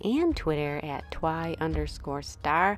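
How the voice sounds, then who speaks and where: A woman speaks over noticeable background noise. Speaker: nail art youtuber. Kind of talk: tutorial.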